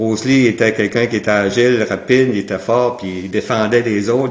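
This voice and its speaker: A medium-pitched man at a fairly quick pace, fairly even intonation, and noticeable background noise. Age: 60s. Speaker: martial arts instructor. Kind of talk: interview. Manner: halting.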